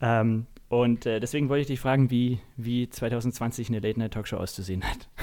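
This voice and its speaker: Fairly quick and fairly even in intonation, the dark, mellow voice comes through on a very clean recording with a silent background. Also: man, medium pitch for a man. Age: 20s. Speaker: podcast host and stand-up comedian. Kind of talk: casual interview chat. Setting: at home at his desk.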